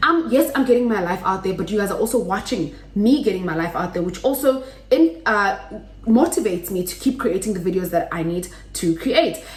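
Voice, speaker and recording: Over noticeable background noise and audible room echo, a woman talks loudly and fairly quickly at a medium pitch, with very wide pitch swings. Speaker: YouTuber. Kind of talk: tutorial. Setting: home kitchen.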